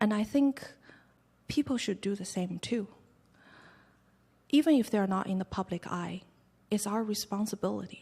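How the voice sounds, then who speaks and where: A woman's somewhat breathy voice at medium pitch has a dark, mellow tone and ordinary pitch variation. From China, Hunan province; raised in Canada. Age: 20s. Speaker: actress and human rights activist. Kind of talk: press club Q&A. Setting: press club event with audience.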